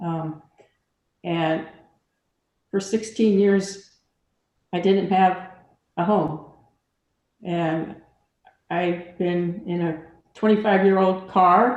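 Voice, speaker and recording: With audible room echo around her, a woman talks very slowly at a medium pitch, keeping her intonation fairly even and leaving long, frequent pauses. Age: 70s. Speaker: formerly homeless resident. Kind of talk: testimony.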